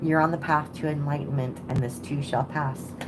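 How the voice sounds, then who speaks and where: A woman with a very deep, low voice speaks at a moderate pace, with audible room echo. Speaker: tarot reader. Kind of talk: live stream reading. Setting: home at night. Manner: casual.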